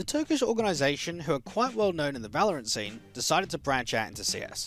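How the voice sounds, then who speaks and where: With music playing behind, the speaker races along at a very fast pace in an Australian accent, pitch swinging very widely. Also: man, high pitch for a man. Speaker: esports caster. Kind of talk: esports video essay narration.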